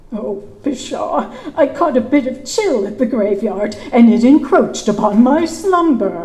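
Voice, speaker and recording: Using a put-on character voice, a woman speaks at a high pitch and a fairly slow pace, with a slight echo. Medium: stage play. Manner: stiff, old-fashioned formal speech.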